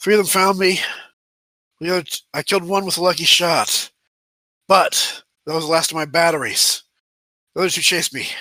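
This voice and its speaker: In a raspy, high-pitched put-on character voice, a man talks at a fairly quick pace with fairly even intonation. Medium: actual play.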